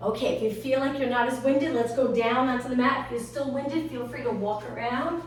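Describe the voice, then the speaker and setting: A woman speaks at a high pitch. The room echo is audible, and there is noticeable background noise. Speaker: fitness instructor. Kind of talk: guided workout instruction.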